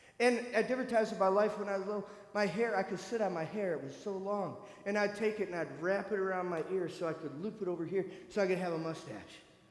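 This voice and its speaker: An animated, bright, sharp-toned man with an American accent at a fairly quick pace, with audible room echo. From US Midwest, northern Michigan. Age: 50s. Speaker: church speaker sharing personal story. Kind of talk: testimony. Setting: church.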